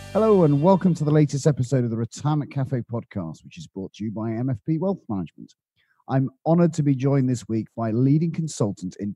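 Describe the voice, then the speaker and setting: The man's medium-pitched voice is dark, mellow and somewhat breathy, swinging very widely in pitch at a fairly quick pace, with a dry, close sound and no echo. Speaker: podcast host and financial planner. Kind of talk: interview.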